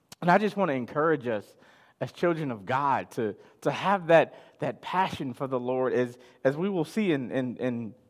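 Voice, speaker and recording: A man with an American accent and a normal speaking voice talks at a fairly high pitch and fairly slow pace. His intonation is lively, and the recording is very clean with a silent background. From Chicago, US. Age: 30s. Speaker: pastor. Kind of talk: sermon. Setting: live stream.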